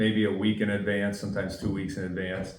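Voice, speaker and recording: In a northeastern Pennsylvania accent, a man speaks with a fairly low pitch and a monotone, flat delivery. Room echo is audible. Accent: Scranton. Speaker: football referee. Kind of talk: interview.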